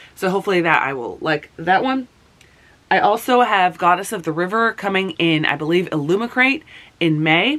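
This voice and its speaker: Lively intonation and a moderate pace from a woman at a medium pitch. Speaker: book reviewer. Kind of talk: casual talk to camera.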